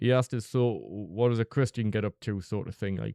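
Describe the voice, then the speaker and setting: A man with a Northeast English accent talks at a fairly quick pace, his medium pitch held in fairly even intonation. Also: dry, close sound with no echo. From northeast England. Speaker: vlogger. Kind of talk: storytelling monologue. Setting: close to microphone. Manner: casual, conversational.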